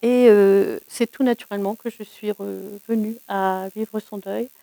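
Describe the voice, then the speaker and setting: A woman's medium-pitched voice, dark and mellow, in a flat monotone, with a dry, close sound and no echo. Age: 60s. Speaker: bereavement support volunteer. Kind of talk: interview testimony. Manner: hesitant, many fillers.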